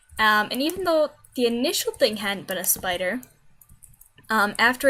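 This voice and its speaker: At a moderate pace, the voice makes very wide pitch swings over noticeable background noise. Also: woman. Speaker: gaming video creator. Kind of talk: gameplay commentary. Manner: casual, hesitant with fillers; quieter than usual.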